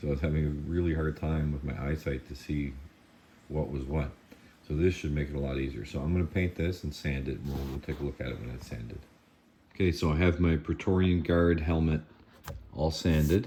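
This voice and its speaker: A man mumbling at a fairly quick pace, his pitch very deep and low, his intonation fairly even. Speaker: 3D printing hobbyist and prop maker. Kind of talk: tutorial. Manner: casual, halting.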